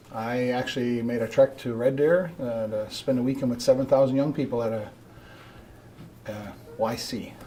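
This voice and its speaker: With an East Coast Canadian accent, a man speaks in fairly even intonation, leaving long, frequent pauses. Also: medium pitch for a man, moderate pace. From Newfoundland, Canada (St. John's). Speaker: road safety committee member. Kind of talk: studio interview. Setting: TV studio.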